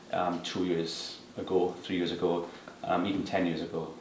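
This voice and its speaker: A man's very deep, low voice with a Welsh accent, monotone and flat at a moderate pace, amid audible room echo and noticeable background noise. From Wales. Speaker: property appraiser. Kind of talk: interview. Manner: hesitant with many fillers.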